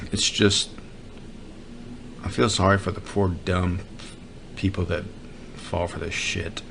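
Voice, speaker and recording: A man mumbles in an American accent at a very slow pace, leaving long, frequent pauses. His very deep, low voice has monotone, flat intonation, and there is noticeable background noise. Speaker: podcast host. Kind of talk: comedic monologue. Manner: mumbling, trails into lower voice; halting.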